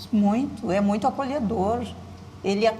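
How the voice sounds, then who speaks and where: Amid noticeable background noise and audible room echo, a woman speaks very slowly at a fairly high pitch with ordinary pitch variation. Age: 60s. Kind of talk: TV interview.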